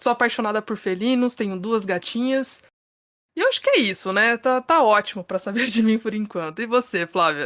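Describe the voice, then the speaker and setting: A woman speaks at a moderate pace with a fairly high pitch and ordinary pitch variation, in an ordinary speaking voice. The recording is very clean, with a silent background. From Brazil, São Paulo. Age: 30s. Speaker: podcast host, journalist. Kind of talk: casual podcast chat.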